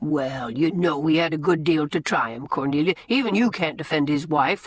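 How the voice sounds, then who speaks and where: At a moderate pace and middle pitch, someone growls through a put-on character voice. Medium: read story. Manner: mild, wry.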